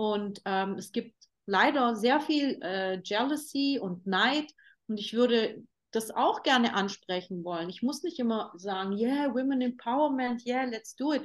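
Fairly high-pitched woman's voice with lively intonation, at a fairly slow pace over a quiet background. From Germany, Turkish parents. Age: 40s. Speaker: fashion designer and label founder. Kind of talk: interview conversation. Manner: animated, many fillers and restarts.

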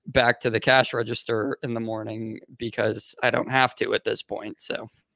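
A man at a medium pitch and moderate pace, with a dry, close sound and no echo. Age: 20s. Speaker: podcaster and entrepreneur. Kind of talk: casual interview. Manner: halting.

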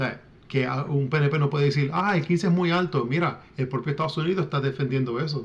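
A somewhat breathy man with a fairly high pitch and ordinary pitch variation. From Puerto Rican diaspora, US. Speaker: author and independence activist. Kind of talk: interview. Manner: halting, many fillers and repetitions.

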